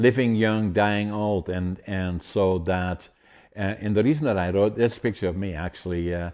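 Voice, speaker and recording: His very deep, low voice carries a dark, mellow tone, moving at a moderate pace with fairly even intonation. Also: quiet background. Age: 80s+. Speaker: podcast host, author and bodybuilder. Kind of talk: casual podcast talk.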